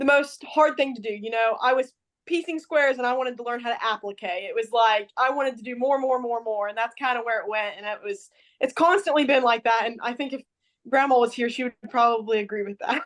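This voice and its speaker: A woman with an American accent talks very fast in a high voice, her pitch varying in an ordinary way. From Indiana. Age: young (18). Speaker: quilt shop owner and longarm quilter. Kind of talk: interview.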